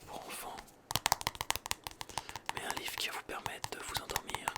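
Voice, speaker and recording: Someone whispers in a calm tone at a fairly slow pace over noticeable background noise. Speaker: ASMR creator. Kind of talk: bedtime story reading. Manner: whispered; calm, relaxing.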